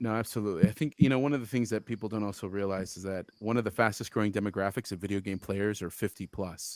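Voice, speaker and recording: A man's fairly low voice at a very fast pace with hardly any pauses and ordinary pitch variation, dry and close with no echo, in a very clean recording over a silent background. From Utah. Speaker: video game developer and entrepreneur. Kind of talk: casual interview chat. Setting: live-streamed show. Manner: animated.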